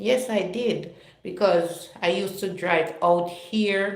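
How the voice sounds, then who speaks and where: A woman talks with a Jamaican accent. The room echo is audible. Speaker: live-stream vlogger. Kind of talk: casual chat. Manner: chatty, conversational.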